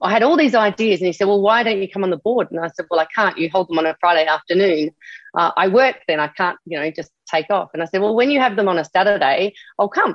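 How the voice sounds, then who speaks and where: A woman with an Australian accent, medium pitch and lively intonation at a very fast pace. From Australia, Adelaide. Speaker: army veteran. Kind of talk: interview. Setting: recorded interview.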